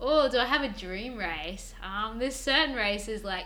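A woman speaks in an Australian accent. Noticeable background noise can be heard. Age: 20s. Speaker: professional cyclist. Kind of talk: interview. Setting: in person at a table.

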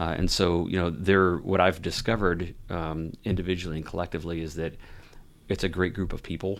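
Fast-ish and flat, a man with an American accent speaks at a fairly quick pace in a very deep, low monotone. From Ohio. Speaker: university athletic director. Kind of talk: interview.

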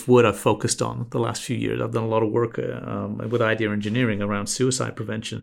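With an American accent and vocal fry, a man talks at a very fast pace in a very clean recording with a silent background. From England. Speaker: branding agency CEO. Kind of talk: interview conversation.

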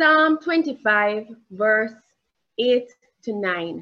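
A woman speaks with a Jamaican accent in a fairly high pitch. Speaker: preacher. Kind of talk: sermon. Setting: church.

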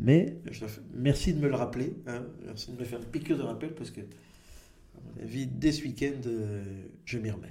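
There is audible room echo around a man's dark, mellow voice. He speaks with vocal fry and ordinary pitch variation. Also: medium pitch for a man, moderate pace, big swings in loudness. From Belgium, Brussels area. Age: 40s. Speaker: comedian. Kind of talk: interview. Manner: halting.

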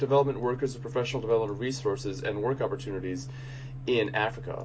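A man rattles along at a very fast pace while noticeable background noise plays beneath his voice. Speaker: podcast host. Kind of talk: interview, host intro.

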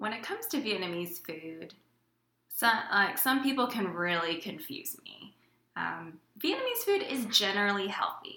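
With an American accent, a woman of medium pitch speaks at a moderate pace with lively intonation and big swings in loudness, in audible room echo. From Houston, Texas. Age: late 20s. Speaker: tech worker, aspiring dietitian. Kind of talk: casual chat.

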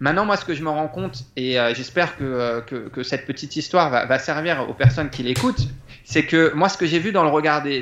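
A man speaks in an unremarkable speaking voice at a moderate pace, with ordinary pitch variation. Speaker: public speaking coach. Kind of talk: casual interview.

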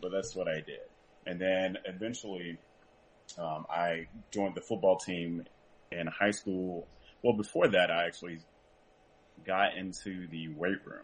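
Here a man speaks at a very deep, low pitch and a fairly slow pace, with fairly even intonation. Long, frequent pauses and big swings in loudness run through his speech. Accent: American. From US South, rural North Carolina. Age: 20s. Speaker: powerlifter. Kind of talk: casual interview. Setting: call.

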